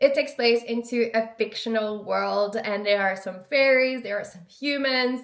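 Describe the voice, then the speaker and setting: A woman speaks in a French accent at a moderate pace. Her intonation remains fairly even. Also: fairly high pitch for a woman, hardly any pauses. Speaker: lifestyle vlogger. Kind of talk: casual vlog talk.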